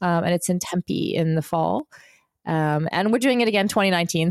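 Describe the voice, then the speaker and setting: Recorded dry and close with no echo, a woman with a fairly low pitch talks at a fairly quick pace in a plain, everyday voice. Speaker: former professional triathlete and podcaster. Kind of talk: podcast interview.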